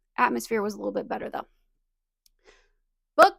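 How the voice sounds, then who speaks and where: The tone is animated. It belongs to a woman with an American accent. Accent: slight southern, more so when relaxed. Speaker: booktuber. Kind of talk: casual vlog chat.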